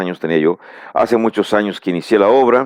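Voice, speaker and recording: Speaking with a Mexican accent, this man has a fairly low pitch and ordinary pitch variation. His pace is fairly quick. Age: 60s. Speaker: preacher. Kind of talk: bible teaching lecture. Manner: halting, with fillers and repeated words.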